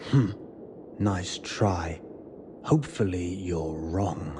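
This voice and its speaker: A man's put-on character voice, very deep and low, at a very slow pace over clear background noise. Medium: machinima.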